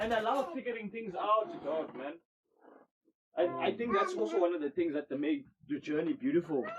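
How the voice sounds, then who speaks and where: Loud and at a moderate pace, the speaker talks with a South African accent, very wide pitch swings, and long, frequent pauses. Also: man, high pitch for a man. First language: isiXhosa. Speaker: podcast host. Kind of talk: casual chat.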